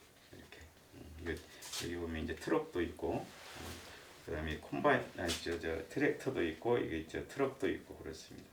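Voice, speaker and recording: A moderate pace, big swings in loudness and audible room echo. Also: man. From provincial South Korea. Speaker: lecturer, retired civil servant. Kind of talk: lecture. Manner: hesitant, many fillers.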